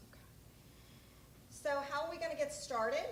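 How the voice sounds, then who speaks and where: A woman's voice carries audible room echo. Noticeable background noise runs beneath it. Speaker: state health program presenter. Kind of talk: conference presentation. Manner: loud.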